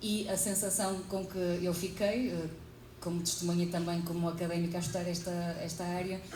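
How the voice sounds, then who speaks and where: With a European Portuguese accent, the speaker talks fairly quickly in a monotone, flat intonation amid audible room echo and noticeable background noise. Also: woman, fairly low pitch for a woman. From Portugal. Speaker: psychologist and academic researcher. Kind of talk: conference talk.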